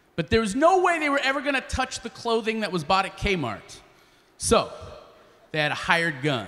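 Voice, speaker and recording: Using a raised, projected voice, a man with a high pitch speaks at a moderate pace with very wide pitch swings. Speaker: spoken word artist and slam poet. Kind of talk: live storytelling performance. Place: stage. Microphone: handheld.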